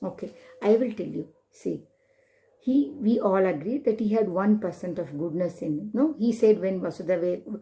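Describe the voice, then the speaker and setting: Using a plain, everyday voice, a woman at medium pitch speaks at a moderate pace with lively intonation. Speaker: storyteller. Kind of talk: children's storytelling with moral lessons.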